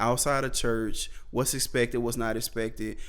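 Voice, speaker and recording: A man with a Mississippi accent, at a moderate pace. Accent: Southern US (Mississippi). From US South, Vicksburg, Mississippi. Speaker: podcast host. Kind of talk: casual podcast monologue. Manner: animated.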